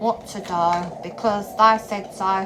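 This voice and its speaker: Over noticeable background noise and audible room echo, a woman with a Norfolk accent speaks very slowly with fairly even intonation. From England, Norfolk. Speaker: spiritual vlogger. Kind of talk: monologue vlog. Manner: blunt; halting, repeats words.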